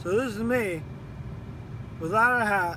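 A man mumbles over noticeable background noise. The sound is dry, with no echo. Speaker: vlogger. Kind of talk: casual vlog chat. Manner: sleepy, mumbling, swollen-jaw speech. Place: car. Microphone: phone near.

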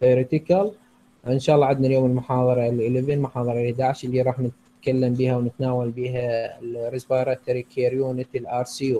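A somewhat breathy, dark, mellow voice in an Iraqi accent, fairly quick and monotone, with light background noise. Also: man. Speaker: nursing lecturer. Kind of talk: lecture. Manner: halting. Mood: warm holiday greeting. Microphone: video call.

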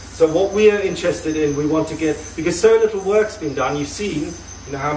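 Noticeable background noise behind a man speaking with ordinary pitch variation. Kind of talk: briefing to volunteers. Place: home room.

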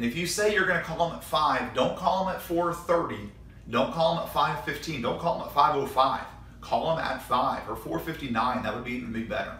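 A man talks at a fairly quick pace, with audible room echo and light background noise. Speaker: college volleyball coach. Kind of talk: tutorial. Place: studio.

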